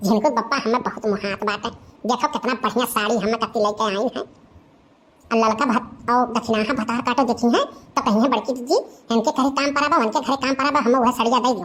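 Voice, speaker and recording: A female-sounding cartoonish character voice speaks at a high pitch and a fairly quick pace. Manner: talkative, rustic.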